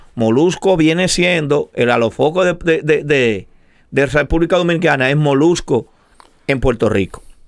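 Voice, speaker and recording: Against a quiet background, a man speaks at a moderate pace and fairly high pitch, with ordinary pitch variation and very even loudness. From Dominican Republic. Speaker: show co-host. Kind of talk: casual debate. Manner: animated. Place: studio. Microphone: studio mic.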